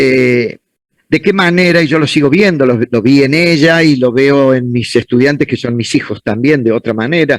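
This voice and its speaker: A man with an ordinary speaking voice talks at a moderate pace and a fairly high pitch, with ordinary pitch variation and very even loudness. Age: 60s. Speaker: law professor. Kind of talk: conference Q&A answering student questions.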